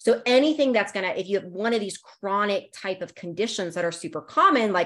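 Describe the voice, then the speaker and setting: A woman with an American accent, an unremarkable speaking voice, lively intonation and a fairly quick pace. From US, Northern Virginia. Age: 40s. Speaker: naturopathic doctor. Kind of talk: interview. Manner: casual, many fillers.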